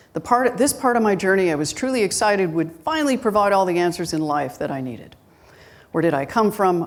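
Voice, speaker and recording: Through audible room echo, a woman speaks at a fairly quick pace with lively intonation. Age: 60s. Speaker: guest minister. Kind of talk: sermon. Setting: church with live congregation. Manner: conversational.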